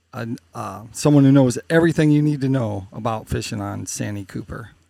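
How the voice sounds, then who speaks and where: A man with an unremarkable speaking voice talks at medium pitch and a moderate pace on a very clean recording with a silent background. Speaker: podcast host. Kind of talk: interview.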